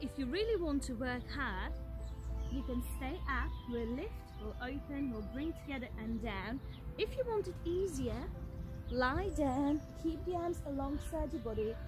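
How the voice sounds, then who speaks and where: Over clear background music, a woman speaks at a moderate pace, the sound dry with no echo. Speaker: fitness instructor. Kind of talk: workout instruction. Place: open country.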